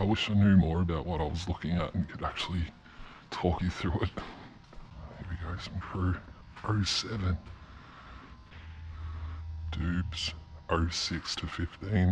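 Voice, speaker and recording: Fairly slow, somewhat breathy speech with fairly even intonation, long, frequent pauses and light background noise. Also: man, very deep, low pitch for a man. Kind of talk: casual vlog chat. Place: factory. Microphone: phone near.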